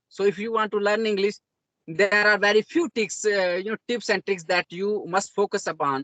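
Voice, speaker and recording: The speaker has an Indian accent and a moderate pace. Pitch varies in an ordinary way. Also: man. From India, Jammu region (Dogri-speaking village). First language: Dogri. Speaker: self-taught English learner. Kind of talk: interview conversation. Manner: halting, many fillers.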